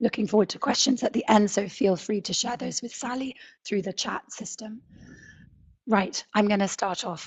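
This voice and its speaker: The delivery is somewhat breathy, at a moderate pace with ordinary pitch variation. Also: woman, fairly high pitch for a woman. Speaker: safari lodge owner. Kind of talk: webinar presentation. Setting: online webinar.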